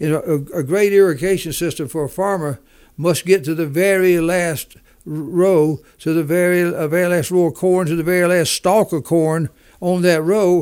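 The recording is very clean, with a silent background. A man with a Southern US accent speaks at a high pitch. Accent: Southern US, noticeable drawl. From US South. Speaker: business leader and author. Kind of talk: interview, business talk.

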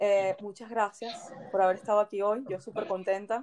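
At a moderate pace, a woman with a fairly high pitch talks in a plain, everyday voice. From Venezuela. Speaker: podcast host, journalist. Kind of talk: interview.

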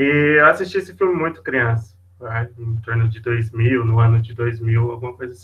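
At a moderate pace, a man with an unremarkable speaking voice talks at a medium pitch with ordinary pitch variation and big swings in loudness. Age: 20s. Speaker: volunteer hospital clown. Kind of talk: casual interview.

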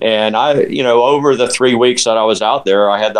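A man with an American accent speaks with fairly even intonation over noticeable background noise. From Central Florida. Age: 60s. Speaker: ultramarathon runner. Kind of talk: casual chat. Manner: halting.

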